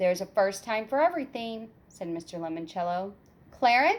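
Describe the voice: Lively intonation over plain reading aloud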